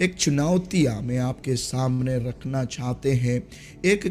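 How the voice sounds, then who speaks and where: A man speaks at a fairly high pitch with a non-native accent. Music is heard in the background. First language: not Hindi (speaking Hindi). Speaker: pastor. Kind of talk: sermon. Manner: halting, many fillers.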